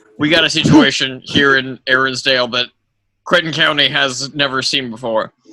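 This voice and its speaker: A man speaks in a raspy, put-on character voice at medium pitch, keeping a moderate pace and fairly even intonation. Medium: actual play. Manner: blustery, halting.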